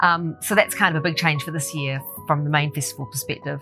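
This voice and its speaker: Over clear background music, a woman talks at a fairly quick pace with a very deep, low pitch. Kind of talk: interview answer. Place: hall.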